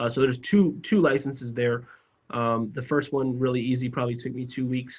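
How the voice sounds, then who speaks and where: A man with an American accent talks at a fairly quick pace. His medium-pitched voice is monotone and flat. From South Florida. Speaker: financial advisor recruiter. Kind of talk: employer information session presentation. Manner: fast.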